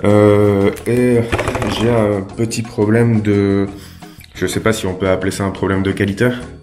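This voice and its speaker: A man talks in a monotone, flat intonation with long, frequent pauses. Audible room echo and music play in the background. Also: fairly slow pace. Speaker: YouTuber doing prank calls. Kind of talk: prank phone call. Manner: hesitant, many fillers.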